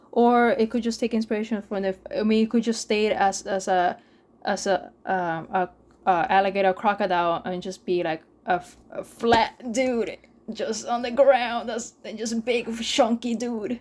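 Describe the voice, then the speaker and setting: A woman speaks with a Spanish accent at fairly high pitch. Her pitch variation is ordinary. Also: moderate pace, big swings in loudness. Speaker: gaming podcast co-host. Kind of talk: casual chat. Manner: halting, many false starts.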